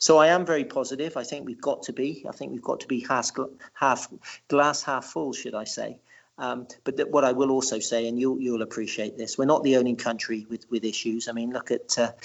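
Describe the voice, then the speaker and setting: A man with an English accent talks at a fairly quick pace and a medium pitch. His intonation stays fairly even. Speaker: writer and local historian. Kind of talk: podcast interview. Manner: halting, with many repetitions.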